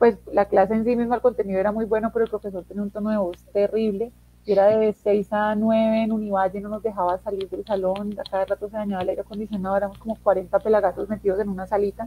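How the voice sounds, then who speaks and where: A woman's medium-pitched, dark, mellow, somewhat breathy voice, very fast with hardly any pauses and a monotone, flat delivery. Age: 20s. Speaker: philosophy teacher. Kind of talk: interview.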